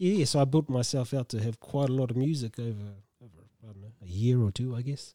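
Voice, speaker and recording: A man with a New Zealand accent has a dark, mellow tone and ordinary pitch variation. He talks at a fairly quick pace. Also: medium pitch for a man. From New Zealand, Tolaga Bay (East Coast). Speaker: gardener and community worker. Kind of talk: casual interview.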